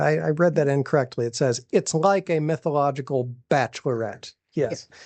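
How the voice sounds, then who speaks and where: An unremarkable speaking voice from a man, fairly high in pitch, at a moderate pace with ordinary pitch variation. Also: quiet background. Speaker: radio show host, library staff. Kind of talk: casual radio show banter.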